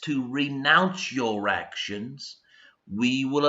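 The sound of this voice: An unforced reading voice with ordinary pitch variation. The background is quiet.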